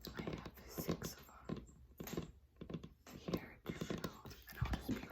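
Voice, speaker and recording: A woman is whispering. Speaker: ASMR creator. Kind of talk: casual talk to camera. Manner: whispered.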